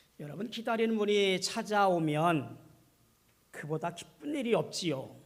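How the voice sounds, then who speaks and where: Audible room echo surrounds a man with a high pitch. He speaks at a fairly slow pace with lively intonation. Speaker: pastor. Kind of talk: sermon.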